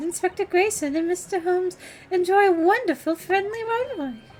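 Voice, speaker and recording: With faint music behind her, a woman puts on a squeaky character voice at an extremely high pitch, talking fairly quickly with lively intonation. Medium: game stream. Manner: courteous, formal.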